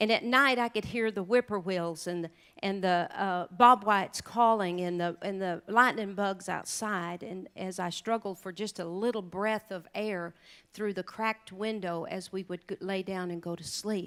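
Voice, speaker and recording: A woman with an Oklahoma accent speaks with fairly even intonation on a very clean recording with a silent background. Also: medium pitch for a woman. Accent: Oklahoma Southern drawl. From southeastern Oklahoma. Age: 50s. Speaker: country singer and rancher speaking at charity luncheon. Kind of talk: speech to a luncheon audience, personal storytelling.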